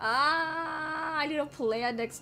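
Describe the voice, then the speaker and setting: The voice swings very widely in pitch, with noticeable background noise behind it. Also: woman. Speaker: vtuber streamer. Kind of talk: casual gaming livestream chat.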